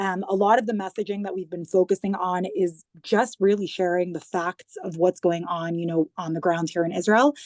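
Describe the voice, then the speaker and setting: With a plain, everyday voice, a woman of medium pitch speaks at a moderate pace with hardly any pauses, in a dry, close sound with no echo. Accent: American. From US, New York. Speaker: government digital communications head. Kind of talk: interview.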